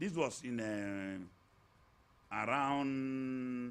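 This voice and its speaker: This man's voice sits at a medium pitch. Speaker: politician. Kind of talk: interview.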